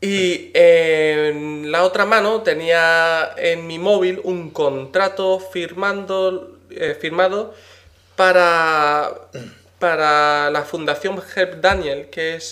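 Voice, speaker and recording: High male voice, its intonation fairly level. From Spain, with American father. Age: 20s. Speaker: games distribution content manager. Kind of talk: casual interview.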